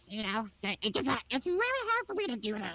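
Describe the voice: This put-on character voice moves at a fairly quick pace. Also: female-sounding voice, high pitch for a woman.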